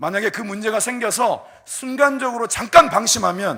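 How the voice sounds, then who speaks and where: Speaking at a fairly slow pace, a man uses a raised, projected voice with a bright, sharp tone. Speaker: pastor. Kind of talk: sermon.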